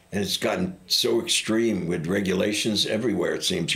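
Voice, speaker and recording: A man with a plain, everyday voice talks at a moderate pace in a fairly low pitch with ordinary pitch variation. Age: 60s. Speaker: public housing resident and smoker. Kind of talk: casual interview.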